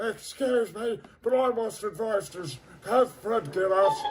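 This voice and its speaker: Music plays behind a put-on character voice that moves at a fairly slow pace with ordinary pitch variation. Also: man, high pitch for a man. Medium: machinima. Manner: prim, disdainful.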